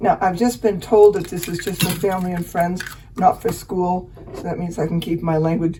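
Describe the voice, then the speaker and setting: A woman speaks over noticeable background noise. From Finnish background. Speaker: home cook. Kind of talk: cooking demonstration. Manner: halting.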